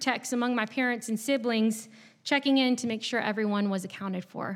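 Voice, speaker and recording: A woman at a very fast pace, with ordinary pitch variation, in a very clean recording with a silent background. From southeast Virginia, US. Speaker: pastor. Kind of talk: sermon. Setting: church.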